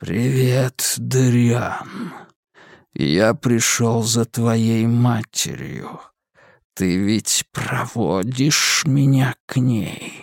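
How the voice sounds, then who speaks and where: A man puts on a hissing character voice. His pitch is medium and his pace very slow. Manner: hissing, cruel, hateful.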